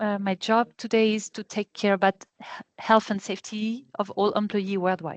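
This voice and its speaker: A woman with a French accent and a fairly high pitch is heard in a dry, close sound with no echo against a quiet background. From France. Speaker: health and safety manager, trainer. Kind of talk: online training session. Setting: video call. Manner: fast.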